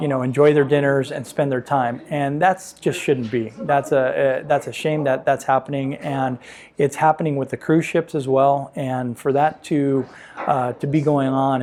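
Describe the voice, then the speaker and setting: At a moderate pace, a man with a fairly high pitch and a dark, mellow tone speaks in fairly even intonation. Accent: American. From San Pedro, Los Angeles, California. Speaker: realtor. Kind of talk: interview answer.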